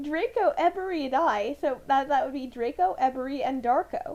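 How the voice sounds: A woman speaks in a high pitch at a moderate pace, with ordinary pitch variation. Her tone is slightly mellow.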